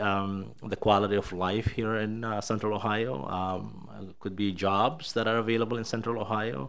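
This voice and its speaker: Fairly low in pitch, a man with a Somali accent talks at a moderate pace. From Somalia. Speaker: state education official; presenter. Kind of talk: presentation. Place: hall. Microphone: podium.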